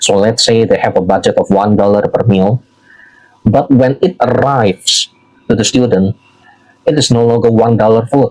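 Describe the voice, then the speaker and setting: In an Indonesian accent, the speaker goes at a moderate pace with very even loudness and long, frequent pauses. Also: man, medium pitch for a man, ordinary pitch variation. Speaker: social media commentator. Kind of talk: political commentary monologue. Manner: halting, frequent fillers.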